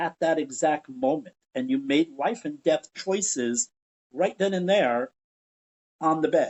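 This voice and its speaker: Lively intonation from a man at a fairly high pitch, an ordinary speaking voice. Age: 60s. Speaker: educator and theater veteran, podcast guest. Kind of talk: interview conversation.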